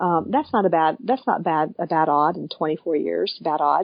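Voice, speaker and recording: A woman talks at a moderate pace. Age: 50s. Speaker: chiropractor. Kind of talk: interview. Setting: podcast. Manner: halting.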